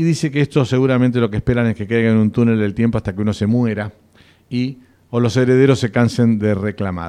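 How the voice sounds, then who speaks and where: Very fast pace, dark and mellow tone, ordinary pitch variation. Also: man, medium pitch for a man. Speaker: radio host, doctor. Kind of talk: radio health show.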